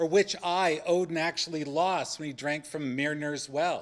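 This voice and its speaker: On a very clean recording with a silent background, a man speaks at a moderate pace. His pitch is fairly high, with ordinary pitch variation. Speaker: religious studies scholar on a debate panel. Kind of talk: panel discussion talk. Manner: loud.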